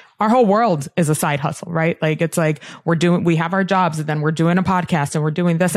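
An unremarkable speaking voice. Its pitch varies in an ordinary way. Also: woman. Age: 30s. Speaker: sports podcast co-host. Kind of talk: casual interview chat.

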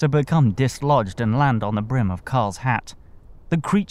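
Lines read in a natural reading voice

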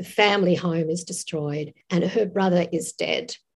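A woman speaks with an Australian accent. Her pace is fairly slow. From Tasmania, Australia. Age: 60s. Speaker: author. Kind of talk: interview. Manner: animated.

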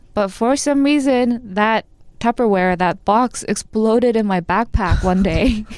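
A woman speaks with an American accent at a fairly slow pace and very even loudness. Her fairly high pitch shows ordinary variation. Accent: sounds American. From Korea, raised in the US from childhood. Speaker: podcast guest. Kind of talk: casual chat.

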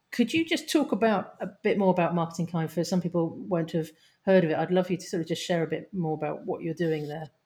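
Dark and mellow in tone, a woman speaks very fast at a fairly low pitch, somewhat breathy. Her pitch varies in an ordinary way, and the recording is very clean with a silent background. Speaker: podcast co-host. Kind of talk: casual interview.

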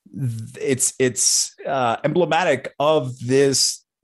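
A man with a normal speaking voice talks at medium pitch with lively intonation. The background is quiet. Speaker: founder of an online investing community. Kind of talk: interview. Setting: video call.

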